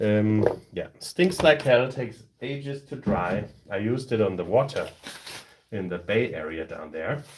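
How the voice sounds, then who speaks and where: Here a man with a German accent talks at a medium pitch. His intonation is lively and his pace fairly slow. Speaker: tabletop terrain crafter, streamer. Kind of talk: live stream tutorial. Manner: casual, halting.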